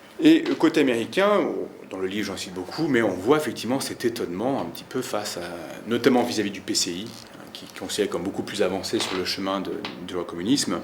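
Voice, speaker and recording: Over noticeable background noise, a man with a fairly low pitch talks at a fairly quick pace, using lively intonation and big swings in loudness. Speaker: historian and author. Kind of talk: book talk. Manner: fast; hesitant, many fillers.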